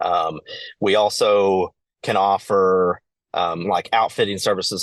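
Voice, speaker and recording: A man speaks with a Kentucky accent in a fairly low voice. The sound is dry and close with no echo, over a quiet background. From eastern Kentucky. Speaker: outdoor education business owner. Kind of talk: podcast interview. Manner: halting, many fillers.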